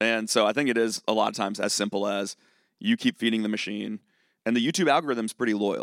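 In a very clean recording with a silent background and a dry, close sound with no echo, a man with an American accent talks at a very fast pace, medium in pitch with ordinary pitch variation. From Virginia, Charlottesville. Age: 30s. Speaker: music critic and YouTuber. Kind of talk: live podcast interview. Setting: stage with audience.

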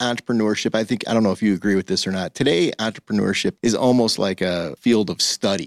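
This man speaks at a very fast pace in a fairly low pitch with an Upper Midwest accent and ordinary pitch variation, captured in a very clean recording with a silent background and a dry, close sound with no echo. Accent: Upper Midwest American. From Michigan. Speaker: coffee franchise co-founder. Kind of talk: interview. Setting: radio studio.

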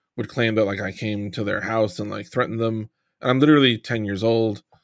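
Here is a man with an unremarkable speaking voice, fairly low in pitch and fairly even in intonation. The recording is very clean, with a silent background. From New York, Long Island. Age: 40s. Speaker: sports podcast host. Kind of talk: casual chat.

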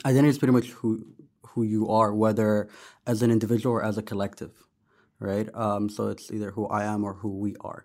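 On a very clean recording with a silent background, a man with an American accent and a fairly low pitch talks very fast between long, frequent pauses. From Sudan, raised internationally (UK, US, East Asia, UAE). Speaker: agency founder and podcaster. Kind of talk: casual chat. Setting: studio. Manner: animated.

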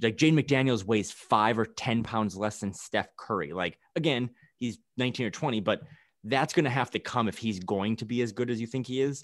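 The background is quiet as a man talks at a fairly quick pace. He has an unremarkable speaking voice. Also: medium pitch for a man, ordinary pitch variation. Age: 30s. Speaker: basketball podcast guest. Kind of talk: casual chat.

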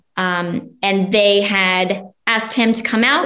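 The intonation stays fairly even throughout. Room echo is audible. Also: woman. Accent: American. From Ohio. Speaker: recent transplant to Texas. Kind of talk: interview.

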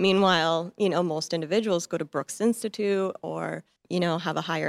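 Speaking at a fairly quick pace in an American accent, a woman with vocal fry has a fairly low pitch and fairly even intonation, recorded very cleanly against a silent background with a dry, close sound and no echo. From US, Montana. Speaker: fashion photographer. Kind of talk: interview. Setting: studio.

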